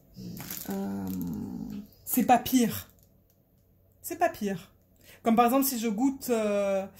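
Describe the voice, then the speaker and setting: The woman's voice has a dark, mellow tone. It comes across as somewhat breathy. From Marseille, southern France. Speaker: crafting vlogger. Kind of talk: casual vlog chat. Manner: hesitant, many fillers.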